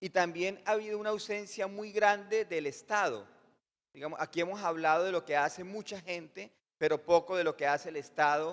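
The background is quiet. A man talks at a high pitch. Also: ordinary pitch variation, moderate pace. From Colombia. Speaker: audience member asking a question; audience member. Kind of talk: audience question. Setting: conference hall with audience. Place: hall. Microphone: handheld.

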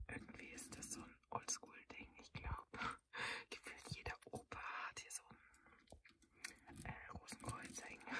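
Whispering at a very slow pace, a woman reads out. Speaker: ASMR creator. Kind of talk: ASMR show and tell. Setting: outdoors, in a parked car. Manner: whispered. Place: car.

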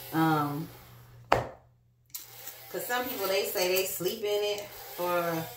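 Woman's medium-pitched voice, fairly bright in tone, heard with strong room echo.

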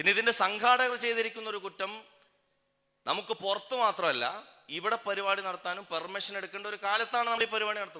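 Raised and projected, a man's high-pitched voice comes across with a bright, sharp tone. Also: fairly even intonation. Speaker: activist speaker. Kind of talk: political speech. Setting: public rally stage.

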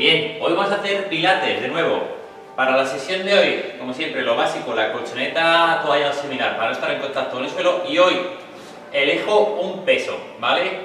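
Music plays in the background as a man with a high pitch talks at a moderate pace with lively intonation, and the room echo is audible. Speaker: fitness instructor. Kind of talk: exercise class instruction. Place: gym. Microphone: camera far.

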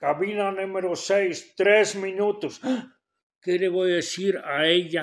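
Very slow pace with fairly even intonation. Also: man, high pitch for a man. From Belgium (Flanders). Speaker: theater critic and philologist. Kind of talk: interview. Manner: blunt, direct; halting, repeats words. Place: studio.

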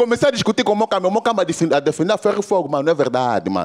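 A very fast, animated delivery with very wide pitch swings. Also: man. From Angola. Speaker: stand-up comedian. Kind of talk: stand-up comedy. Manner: animated, exclamatory street-slang delivery. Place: stage. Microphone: handheld.

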